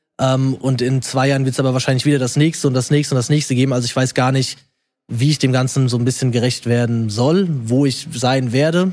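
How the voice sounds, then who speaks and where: An unremarkable speaking voice from a man at medium pitch, fairly quick and fairly even in intonation, with very even loudness on a very clean recording with a silent background. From Germany, rural area. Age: 20s. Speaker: social media creator and personal trainer. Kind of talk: casual chat.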